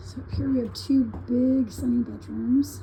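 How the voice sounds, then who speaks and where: A woman is talking. Her delivery is fairly slow. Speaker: kit home builder. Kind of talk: casual home tour walkthrough.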